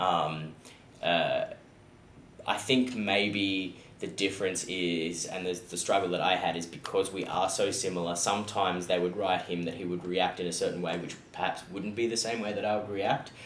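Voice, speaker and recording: A man's very deep, low voice with an Australian accent and fairly even intonation, with audible room echo. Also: moderate pace. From Australia (born South Africa, childhood in Ireland). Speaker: actor. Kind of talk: interview. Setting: sit-down interview.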